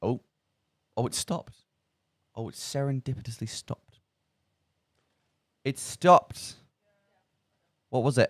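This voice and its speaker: Speaking with an English Midlands accent at a medium pitch, a man keeps a moderate pace with long, frequent pauses and ordinary pitch variation, in a dry, close sound with no echo. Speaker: student radio presenter. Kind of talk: casual chat. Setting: radio studio. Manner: animated.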